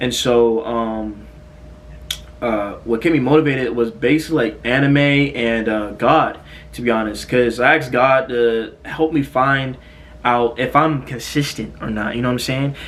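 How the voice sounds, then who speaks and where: This man's medium-pitched, fairly even speech is heard over noticeable background noise. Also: moderate pace. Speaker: fitness content creator. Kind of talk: casual Q&A vlog. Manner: halting, stuttering.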